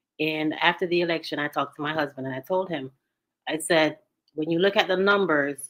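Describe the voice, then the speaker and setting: Speaking at a moderate pace with fairly even intonation, a woman with a Jamaican accent has a very deep, low pitch. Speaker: talk show co-host. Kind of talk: casual discussion.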